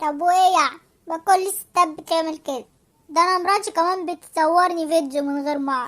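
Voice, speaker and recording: Using a cartoonish character voice, a woman talks at a moderate pace with an extremely high pitch and fairly even intonation. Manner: impatient, sardonic.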